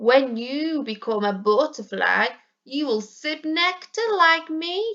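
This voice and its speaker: A woman puts on a character voice. It sits at a high pitch. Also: fairly slow pace. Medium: read story. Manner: bright, cheery.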